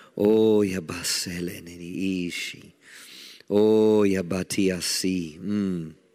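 A man with an American accent speaks very slowly in a very deep, low voice, his tone dark, mellow and intense, his intonation monotone and flat, on a very clean recording with a silent background. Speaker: pastor. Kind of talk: fervent corporate prayer in tongues and declarations. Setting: church prayer meeting with congregation. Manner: intense, declarative, rising exclamations of praise.

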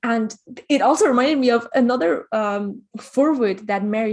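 Speaking at a moderate pace, a woman with an unremarkable speaking voice shows ordinary pitch variation. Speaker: interviewer. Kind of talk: interview conversation.

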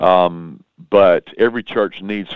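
A man with a Southern US accent. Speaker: pastor. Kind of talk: interview. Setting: phone call. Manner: passionate.

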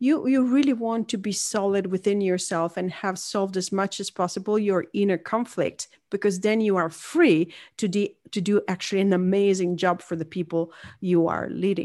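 Moderate pace, a dark, mellow tone and ordinary pitch variation, in an Italian accent against a quiet background. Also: woman, medium pitch for a woman. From Northern Italy. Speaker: leadership coach and author. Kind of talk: interview.

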